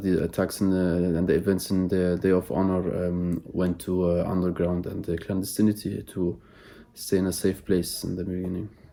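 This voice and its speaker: Very deep and low, a man's voice carries a dark, mellow tone at a moderate pace. The intonation is monotone and flat. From Germany. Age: 20s. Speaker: political activist. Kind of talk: interview. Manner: halting, many fillers.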